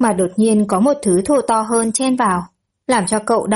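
Heard over a quiet background, an unforced reading voice moves through ordinary pitch variation.

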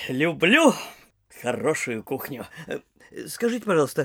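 A man does a put-on character voice at a fairly high pitch with big pitch swings and a bright, sharp tone. There is a slightly husky edge, a moderate pace, and a very clean recording with a silent background.

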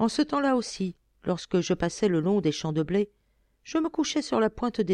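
The speaker delivers a plain reading aloud.

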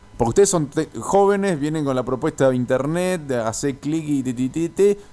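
A man's fairly high voice with a dark, mellow tone and lively intonation. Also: moderate pace.

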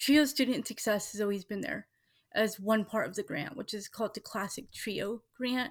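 This is an unremarkable speaking voice at a moderate pace with ordinary pitch variation. The recording is very clean, the background silent. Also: woman. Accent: General American. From Washington State. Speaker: school board candidate. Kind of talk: interview.

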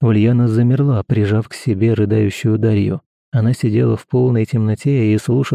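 Plain reading aloud with fairly even intonation over a quiet background.

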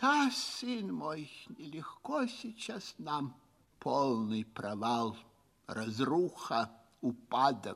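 In a put-on character voice, a man drawls at a very slow pace with medium pitch, vocal fry, a fairly bright tone and lively intonation.

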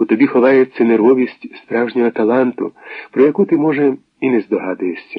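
In a natural reading voice, the pitch shifts in an ordinary way.

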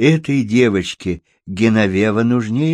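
A natural voice reading aloud over quiet surroundings

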